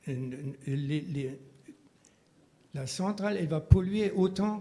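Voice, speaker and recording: Speaking at a very slow pace, a man with a high pitch has a dark, mellow tone. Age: 70s. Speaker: local resident questioning a project. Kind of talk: public hearing statement. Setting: public debate meeting.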